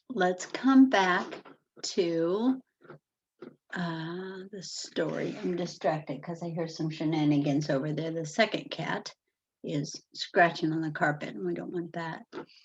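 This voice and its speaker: A woman with fairly low pitch, ordinary pitch variation, big swings in loudness and a fairly slow pace. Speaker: teacher. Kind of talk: online class lesson for young children.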